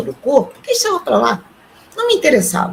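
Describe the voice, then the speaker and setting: Noticeable background noise is in the clip. Over it, a woman talks at a moderate pace. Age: 60s. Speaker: retiree and artisan, near-death experience witness. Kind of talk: testimony. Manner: halting.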